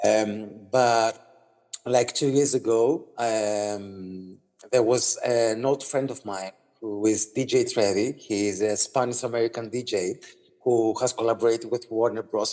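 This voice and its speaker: In a Greek accent, a man talks at a fairly slow pace with fairly even intonation. His medium-pitched voice has a dark, mellow tone. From Greece. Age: 30s. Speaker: singer-songwriter. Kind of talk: interview. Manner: halting, many fillers and repeats.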